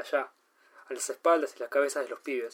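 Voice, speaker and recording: A man speaks in a Uruguayan accent. His pace is fairly quick. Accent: Uruguayan Rioplatense Spanish. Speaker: podcast host and amateur fiction writer. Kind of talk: reading aloud own short story.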